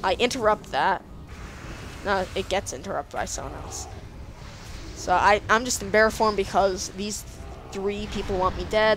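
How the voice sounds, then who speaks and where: Over music in the background, a woman speaks at a moderate pace with a medium pitch. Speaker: gaming commentator. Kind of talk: gameplay commentary. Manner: stuttering; animated.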